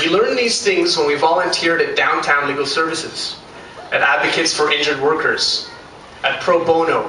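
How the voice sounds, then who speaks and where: Fairly quick speech comes through with audible room echo and noticeable background noise. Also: man. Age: 20s. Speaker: law school valedictorian. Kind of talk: graduation speech. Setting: stage with audience.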